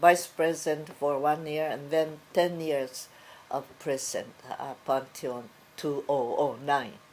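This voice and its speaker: With a Japanese accent, a woman talks at a fairly slow pace in a very deep, low voice with ordinary pitch variation. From Japan, Osaka. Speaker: fashion business educator. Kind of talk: oral history interview. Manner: halting, many fillers.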